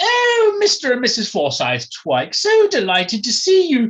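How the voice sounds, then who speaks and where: Someone uses a put-on character voice, fairly high in pitch, at a moderate pace. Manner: falsely sweet, sarcastic.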